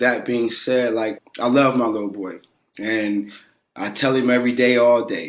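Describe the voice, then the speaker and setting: A man with an American accent speaks at a medium pitch. His pace is moderate. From western Pennsylvania, Aliquippa near Pittsburgh. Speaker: former pro football player. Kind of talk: podcast interview. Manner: animated.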